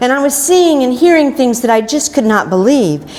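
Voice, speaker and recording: With noticeable background noise behind her, a woman speaks at a high pitch with an American accent. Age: 60s. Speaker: keto success story speaker. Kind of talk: prepared personal testimony talk.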